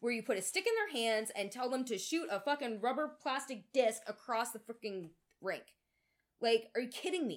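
A woman with a fairly high pitch, an animated tone, lively intonation, and a moderate pace. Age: 30s. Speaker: podcast co-host. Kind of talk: casual chat.

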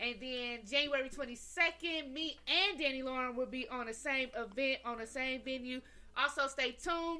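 Her voice is raised and projected, set at a high pitch. The woman keeps a moderate pace with ordinary pitch variation. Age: 30s. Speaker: podcast co-host and performer. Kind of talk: casual chat.

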